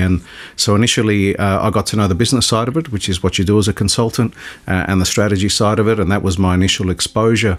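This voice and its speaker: With an Australian accent, a man talks at a very fast pace with fairly even intonation. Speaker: airline CEO. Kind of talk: radio interview. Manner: halting, many fillers.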